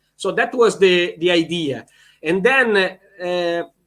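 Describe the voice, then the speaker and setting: A man with an Italian accent speaks at a very slow pace in a bright, sharp tone. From Italy. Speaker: volleyball head coach. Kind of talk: interview. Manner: halting.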